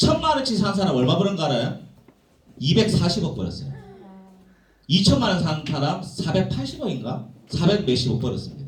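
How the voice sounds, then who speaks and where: A man speaks with lively intonation, leaving long, frequent pauses. Room echo is audible, and background noise is noticeable. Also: fairly high pitch for a man, moderate pace. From South Korea, Gyeongsang (Jinju, South Gyeongsang). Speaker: business seminar speaker. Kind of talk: seminar lecture.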